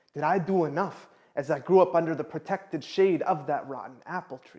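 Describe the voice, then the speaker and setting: An ordinary speaking voice moves at a fairly quick pace, with fairly even intonation and big swings in loudness. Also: man, fairly high pitch for a man. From Canada. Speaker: spoken word poet. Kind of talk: spoken word performance.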